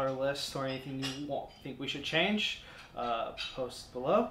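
Light background noise sits under a man's speech, which has audible room echo. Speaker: wargaming channel host. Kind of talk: casual vlog chat. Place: garage. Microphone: camera far.

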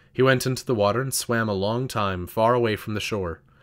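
A man's unremarkable speaking voice: fairly low pitch, fairly even intonation, moderate pace, very clean recording and silent background. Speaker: audiobook narrator. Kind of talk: scripted audiobook narration, dramatic and literary, reading aloud a first-person novel.

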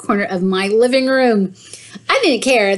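An unforced reading voice carries ordinary pitch variation here.

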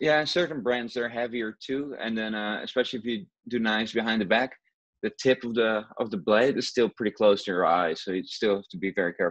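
A man with a Dutch accent at a fairly quick pace, against a quiet background. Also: ordinary pitch variation. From Netherlands (Rotterdam). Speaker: juggler. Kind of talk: interview. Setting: video call. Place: home room. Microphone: earbuds.

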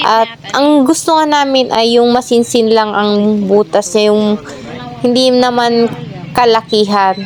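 Her pitch sits fairly high for a woman, with ordinary variation. She speaks at a fairly slow pace amid noticeable background noise. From Pangasinan, Philippines. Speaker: vlogger, duck farmer. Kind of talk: casual vlog narration.

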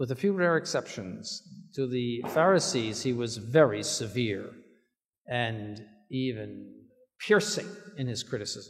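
A man's medium-pitched voice with very wide pitch swings, a fairly slow pace, long and frequent pauses, and a quiet background. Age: 70s. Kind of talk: sermon. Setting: church. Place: church. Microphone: podium.

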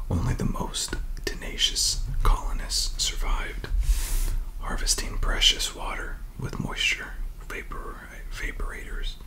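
Someone whispers softly at a fairly slow pace, with long, frequent pauses and noticeable background noise. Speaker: book reviewer. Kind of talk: reading aloud and casual commentary. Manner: soft whispered storybook reading.

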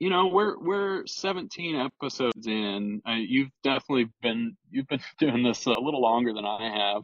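A man with a medium-pitched voice speaks at a fairly slow pace with lively intonation. The sound is dry with no echo, over a quiet background. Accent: Texan. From Texas (Houston, then small-town Brenham); Texas. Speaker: builder; podcast guest. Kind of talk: casual interview chat. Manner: halting, many repetitions and fillers. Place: car. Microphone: earbuds.

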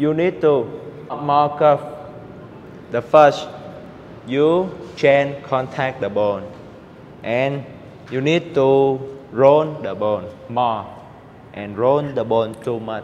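With light background noise behind him, a man speaks at a very slow pace, leaving long, frequent pauses, with ordinary pitch variation. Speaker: table tennis coach. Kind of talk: tutorial. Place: hall. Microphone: lapel.

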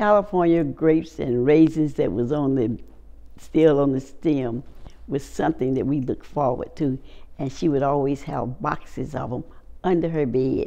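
A woman with a very deep, low pitch talks at a moderate pace in a North Carolina accent, her tone dark and mellow. Vocal fry runs through her speech. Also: ordinary pitch variation. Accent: Southern US, North Carolina. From Wake Forest, North Carolina. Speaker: oral history interviewee. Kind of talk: oral history interview answer. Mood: warm, reminiscing. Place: home room.

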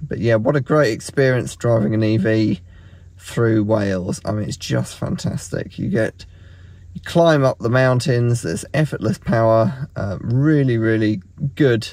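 Recorded dry with no echo, a man speaks at a fairly slow pace. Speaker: road trip vlogger. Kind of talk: casual vlog chat. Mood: relaxed, pleased. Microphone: phone near.

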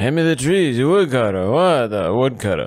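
A man's put-on character voice at a medium pitch. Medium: read story. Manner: goofy, confused.

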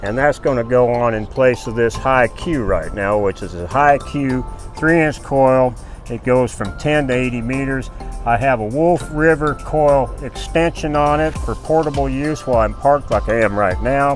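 A man at a moderate pace with ordinary pitch variation, dry sound with no echo and faint music in the background. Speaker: radio amateur. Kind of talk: interview answer. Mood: friendly, relaxed. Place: open country. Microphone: phone near.

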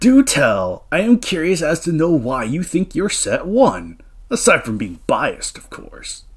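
A man in a put-on character voice, high-pitched for a man, at a moderate pace. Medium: role play. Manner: casual, boastful.

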